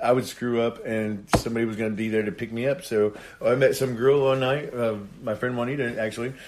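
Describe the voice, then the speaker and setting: A man's medium-pitched voice in an American accent, with fairly even intonation over noticeable background noise. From Indiana. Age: 30s. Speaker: reality TV cast member and painter. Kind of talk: casual chat. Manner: halting.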